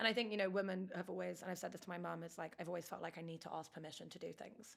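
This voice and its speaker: A woman's very fast, fairly low-pitched voice with vocal fry and fairly even intonation. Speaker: startup founder. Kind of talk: interview. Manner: loud.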